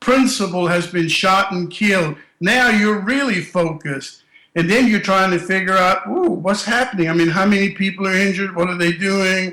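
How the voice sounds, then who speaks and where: A man projects a raised voice at a high pitch. He keeps a moderate pace. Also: ordinary pitch variation. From Germany, moved to US at 12. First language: German. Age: 60s. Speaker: school safety consultant. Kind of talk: interview. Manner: animated.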